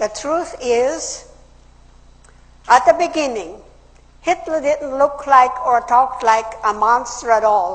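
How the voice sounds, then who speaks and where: A woman's high voice with lively intonation at a very slow pace, broken by long, frequent pauses. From Austria. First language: German. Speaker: political speaker, WWII survivor. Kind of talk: public speech.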